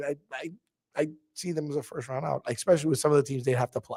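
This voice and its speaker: A man with a fairly high pitch, ordinary pitch variation and an animated tone, talking at a very fast pace. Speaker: radio host. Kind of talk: casual sports talk on radio.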